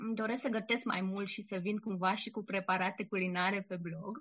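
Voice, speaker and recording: Here is a woman with an unremarkable speaking voice and medium pitch. She talks at a moderate pace with fairly even intonation. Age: 30s. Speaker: blogger and poet. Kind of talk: interview.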